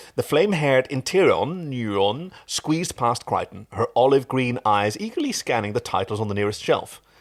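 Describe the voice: Reading aloud, plain.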